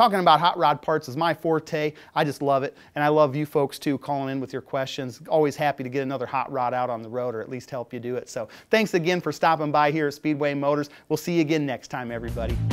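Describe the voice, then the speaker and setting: The man talks at a very fast pace. His pitch varies in an ordinary way. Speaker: presenter. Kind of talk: product tech talk. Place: studio.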